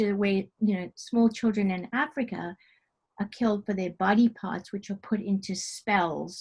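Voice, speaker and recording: The pace is moderate and the intonation fairly even. There is a somewhat breathy quality to the voice. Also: woman. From South Africa. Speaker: novelist. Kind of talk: interview answer. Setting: video call.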